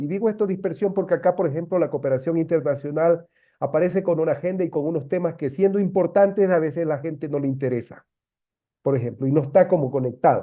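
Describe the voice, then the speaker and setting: A man speaks at a fairly quick pace in a high pitch, with ordinary pitch variation. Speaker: meeting participant. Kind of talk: online meeting discussion.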